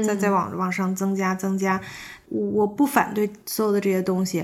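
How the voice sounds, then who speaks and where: A woman's voice at medium pitch, an unremarkable speaking voice with fairly even intonation. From Beijing, China. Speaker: yoga teacher. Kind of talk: casual interview conversation.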